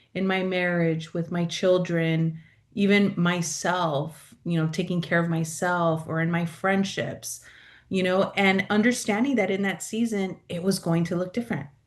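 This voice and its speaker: A woman with an American accent, a fairly low voice, fairly even intonation and a fairly slow pace, against a quiet background. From California, South Bay (Los Angeles area). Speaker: pastoral and mental health coach. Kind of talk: interview conversation. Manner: loud.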